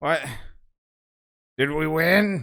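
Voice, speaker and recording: The voice is a put-on character act. Its pitch sits in the middle. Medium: actual play. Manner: simple broken speech.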